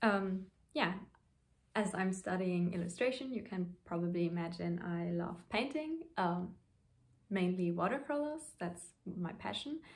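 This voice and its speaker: A somewhat breathy woman's voice, fairly slow in pace, with lively intonation. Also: medium pitch for a woman. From Luxembourg. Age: 20s. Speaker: knitting podcaster. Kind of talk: casual vlog talk to camera. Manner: hesitant, many fillers.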